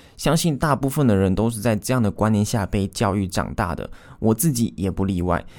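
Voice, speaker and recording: A very clean recording with a silent background captures a man with a Taiwanese accent. His fairly low voice has lively intonation. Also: fairly quick pace. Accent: Taiwanese Mandarin. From Taiwan, Taichung. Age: 20s. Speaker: podcast host, online course creator. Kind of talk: solo podcast monologue.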